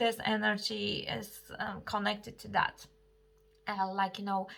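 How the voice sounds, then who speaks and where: Speaking at a fairly slow pace, a woman with a non-native accent keeps a medium pitch and fairly even intonation. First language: not English. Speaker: astrologer and tarot reader. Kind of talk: astrology forecast monologue. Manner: halting, many fillers.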